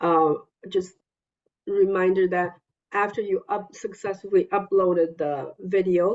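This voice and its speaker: The pace is fairly slow. A woman speaks in a non-native accent. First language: not English. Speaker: EMDR consultant leading a therapist consultation group. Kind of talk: group consultation meeting.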